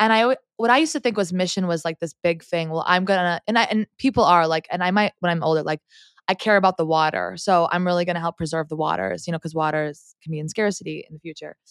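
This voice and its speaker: At a very fast pace with hardly any pauses, a woman with a fairly low pitch and ordinary pitch variation speaks in a very clean recording with a silent background and a dry, close sound that has no echo. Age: 30s. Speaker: DJ. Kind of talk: casual interview. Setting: in person at a conference, shared microphone.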